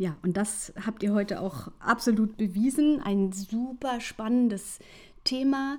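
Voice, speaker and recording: A somewhat breathy woman speaks at a fairly high pitch. Her pace is very slow, with ordinary pitch variation. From Hanover, northern Germany. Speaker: podcast host, researcher and science communicator. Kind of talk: interview conversation.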